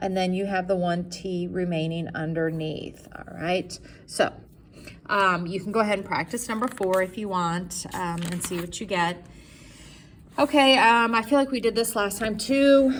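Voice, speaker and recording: A woman speaks at a moderate pace with ordinary pitch variation, and the room echo is audible. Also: medium pitch for a woman. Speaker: math teacher. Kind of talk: classroom lecture.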